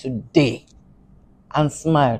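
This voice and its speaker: A woman talks in a Yoruba accent with a dark, mellow tone. Her pitch swings very widely. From Nigeria, Lagos (Apapa Road). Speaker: actress. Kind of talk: interview.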